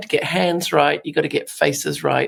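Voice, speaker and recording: A woman with a British accent at a fairly quick pace. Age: 50s. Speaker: artist. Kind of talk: podcast interview. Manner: animated.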